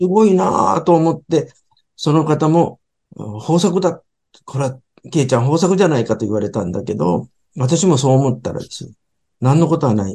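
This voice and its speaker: This man's voice has a dark, mellow tone, sits fairly high in pitch, shows vocal fry and very wide pitch swings, and moves at a moderate pace. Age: 70s. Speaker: sushi restaurant company chairman. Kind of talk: interview talk about his business.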